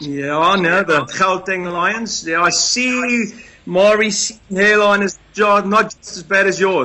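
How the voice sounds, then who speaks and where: A man's raised, projected voice at a high pitch, very slow pace and ordinary pitch variation, with noticeable background noise. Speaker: rugby player. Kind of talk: casual interview.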